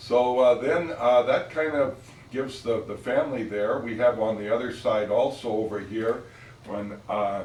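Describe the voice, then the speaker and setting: Speaking with an American accent, a man uses a medium pitch and fairly even intonation at a moderate pace. Audible room echo surrounds his voice. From Northern California, Oakland. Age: 80s+. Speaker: family elder telling family history. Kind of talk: casual family storytelling. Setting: office, filmed for family. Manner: halting, many fillers.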